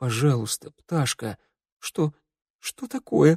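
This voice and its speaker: A raspy, shaky voice at low-to-middle pitch, with lively intonation and a fairly slow pace. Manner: frightened, shaky.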